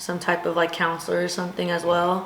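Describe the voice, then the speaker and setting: Speaking fairly quickly in a Southern Californian accent, a woman with a fairly low voice is heard over noticeable background noise and audible room echo. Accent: Southern California American. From US West Coast, Long Beach, California. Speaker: college softball player. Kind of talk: casual interview. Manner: energetic, loud.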